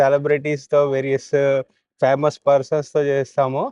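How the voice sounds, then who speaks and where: A man with a fairly high pitch speaks in a monotone, flat intonation, the sound dry and close with no echo. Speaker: podcast host. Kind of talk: podcast intro.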